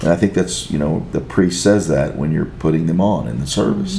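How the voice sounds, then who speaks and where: A man's voice at moderate speed, amid noticeable background noise and audible echo from the room. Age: 60s. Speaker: lawyer, husband and father. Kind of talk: casual interview chat.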